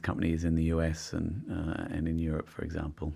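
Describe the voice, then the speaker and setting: Very deep and low, a man's voice with an Australian accent moves at a fairly quick pace. The recording is very clean with a silent background. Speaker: company finance executive. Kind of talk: podcast interview.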